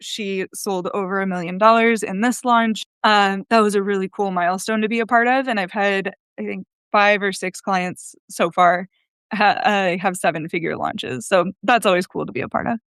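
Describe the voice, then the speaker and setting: A woman with an American accent has an unremarkable speaking voice at a medium pitch, with fairly even intonation. The sound is dry and close with no echo, over a quiet background. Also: moderate pace. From United States. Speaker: copywriter, agency founder. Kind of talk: podcast interview.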